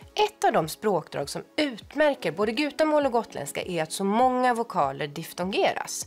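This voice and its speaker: Faint music plays behind a woman with a high-pitched voice. Her pitch swings very widely. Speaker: language researcher. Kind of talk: educational explanation. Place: studio. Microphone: lapel.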